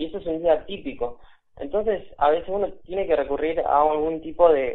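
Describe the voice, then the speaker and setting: A man's fairly high-pitched, normal speaking voice at a moderate pace with ordinary pitch variation. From Buenos Aires, Argentina. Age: 20s. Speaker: video game developer. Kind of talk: interview. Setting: phone call.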